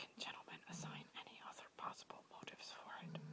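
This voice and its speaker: Someone whispers at a fairly slow pace. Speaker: whisper video creator. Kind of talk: whispered reading of a historical speech. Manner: whispered.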